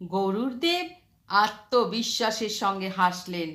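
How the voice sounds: Lively intonation marks this woman's medium-pitched voice, which has a bright, sharp tone. She talks at a slow pace.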